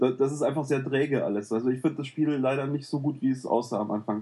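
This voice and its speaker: Speaking with ordinary pitch variation, a man has a fairly high pitch and a dark, mellow tone. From Cologne, Germany. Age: 30s. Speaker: gaming forum user. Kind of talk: casual chat.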